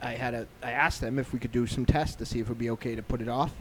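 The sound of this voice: A man talks at a fairly quick pace in a medium pitch. His tone is slightly mellow, with vocal fry.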